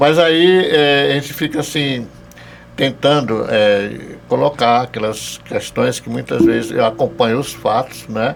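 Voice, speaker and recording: Speech moves at a fairly slow pace. Noticeable background noise runs underneath. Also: man, medium pitch for a man, ordinary pitch variation. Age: 70s. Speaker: theology professor. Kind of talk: podcast interview. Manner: halting, with hesitations.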